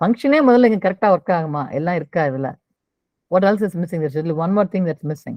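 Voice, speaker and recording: A woman talks in a plain, everyday voice. Her pitch sits fairly low and her intonation is lively. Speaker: programming teacher. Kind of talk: online coding class review.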